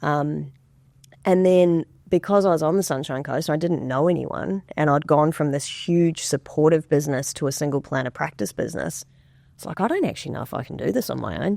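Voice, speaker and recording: Speaking at a fairly quick pace with a slight New Zealand accent, a woman has a dark, mellow tone, a very deep, low pitch, vocal fry and ordinary pitch variation, on a very clean recording with a silent background. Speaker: financial advisor. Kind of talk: podcast interview.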